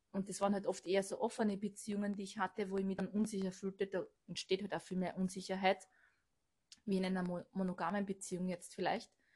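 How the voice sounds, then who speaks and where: A woman speaks at a very fast pace with a medium pitch, a somewhat breathy sound, and monotone, flat intonation. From Austria, Burgenland. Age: 30s. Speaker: manager at a stairlift company. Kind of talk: casual chat.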